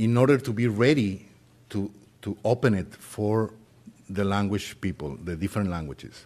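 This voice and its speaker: A man with a Spanish accent speaks in a fairly low pitch with a dark, mellow tone and lively intonation. He moves at a fairly slow pace, leaving long, frequent pauses. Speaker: volunteer translation coordinator. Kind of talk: short announcement.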